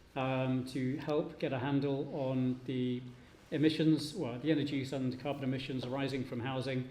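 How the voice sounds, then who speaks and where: A man's dark, mellow voice at a medium pitch moves at a moderate pace in a flat monotone, with audible room echo. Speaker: professor. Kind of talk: conference presentation.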